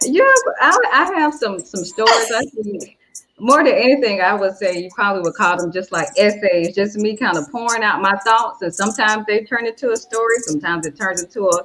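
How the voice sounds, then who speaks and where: A woman's fairly high voice with lively intonation at a fairly quick pace, over noticeable background noise. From US South. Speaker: English teacher and yoga instructor. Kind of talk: casual interview.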